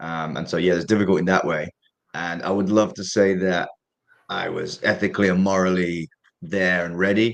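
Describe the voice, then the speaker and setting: A man speaks at a very deep, low pitch in monotone, flat intonation. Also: moderate pace. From Derby, England. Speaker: professional boxer. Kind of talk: interview answer. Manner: candid, casual, swears.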